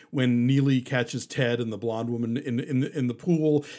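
On a very clean recording with total background silence, an unremarkable speaking voice proceeds at a moderate speed. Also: man. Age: 50s. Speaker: film critic and podcast host. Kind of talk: casual chat.

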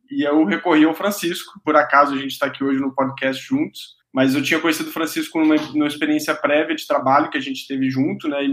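A fairly high-pitched man at a very fast pace, fairly even in intonation and with hardly any pauses. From interior of Rio de Janeiro state, Brazil. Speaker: ice cream company founder. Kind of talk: casual chat. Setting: video call.

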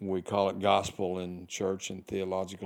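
In a Southern US accent, a man talks at a fairly low pitch in a very clean recording with a silent background. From US South, Arkansas. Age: 60s. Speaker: podcast host, retired. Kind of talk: reflective monologue. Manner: casual, halting with fillers.

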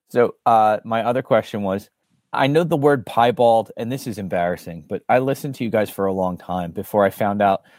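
In a very clean recording with a silent background, a man with a plain, everyday voice and an American accent speaks at a moderate pace with lively intonation and a medium pitch. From Bensalem, near Philadelphia. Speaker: podcast co-host. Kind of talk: casual chat.

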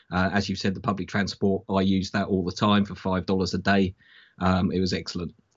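The speaker has a British accent and talks at a fairly quick pace. The intonation is monotone and flat. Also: man. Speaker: football fan panelist. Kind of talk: casual chat.

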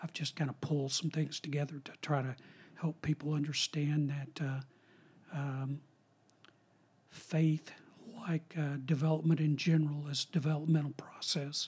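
Pausing long and often, a man talks at a moderate pace in a fairly high, somewhat breathy voice with monotone, flat intonation. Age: 60s. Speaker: retired professor of philosophy and religion. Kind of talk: casual interview chat.

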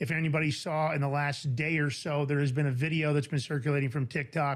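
Speaking at a very fast pace with an American accent, a man with a fairly high pitch sounds somewhat breathy on a very clean recording with a silent background. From New York. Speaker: podcast host. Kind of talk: casual chat.

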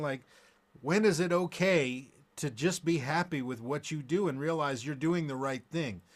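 The recording is very clean, with a silent background. A man speaks in a plain, everyday voice at a fairly high pitch, with ordinary pitch variation. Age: 40s. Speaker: guitarist and podcast host. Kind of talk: casual chat. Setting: studio.

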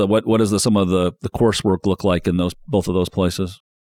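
With a Midwestern American accent, a man talks fairly quickly at a fairly low pitch. His intonation is fairly even, and the sound is dry and close with no echo. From Indiana, South Bend area. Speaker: podcast host, media executive. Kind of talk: interview.

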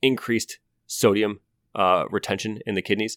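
Bright and sharp in tone, a man with an American accent keeps his intonation fairly even, on a very clean recording with a silent background and a dry, close sound with no echo. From US Midwest (Ohio). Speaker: physician podcast co-host. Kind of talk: casual medical explainer.

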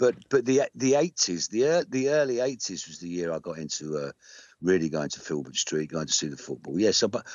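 A man with an English accent at a moderate pace, his pitch swinging very widely. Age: 60s. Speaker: rock singer-songwriter. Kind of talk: casual interview. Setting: phone call.

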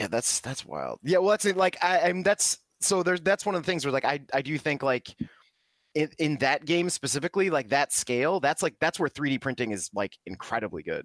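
With vocal fry and lively intonation, a man speaks at a fairly high pitch and a fairly quick pace, in a dry, close sound with no echo. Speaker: podcast co-host. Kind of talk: casual chat. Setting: video call. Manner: animated.

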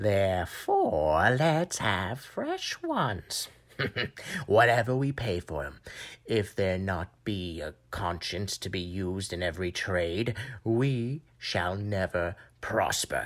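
A fairly low-pitched man at a fairly slow pace, with lively intonation. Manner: grumbling, mercenary.

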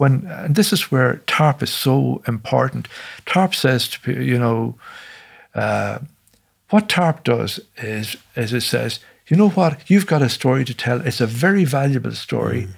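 In an Irish accent, a man with a somewhat breathy voice speaks at a fairly slow pace and medium pitch with lively intonation. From Ireland. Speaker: musician and bombing survivor. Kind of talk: interview testimony. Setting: studio.

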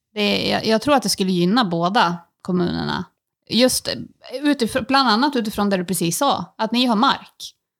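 Vocal fry runs through this woman's speech. She talks at a moderate pace with lively intonation. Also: medium pitch for a woman. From Sweden, Timrå near Sundsvall. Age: 30s. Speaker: beauty salon owner and local politician. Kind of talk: interview.

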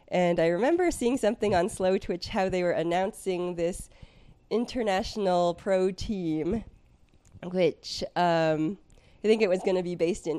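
With an American accent, a woman speaks at medium pitch in a dark, mellow tone on a very clean recording with a silent background. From US West Coast, San Francisco Bay Area. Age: 30s. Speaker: former professional triathlete. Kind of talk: casual interview chat.

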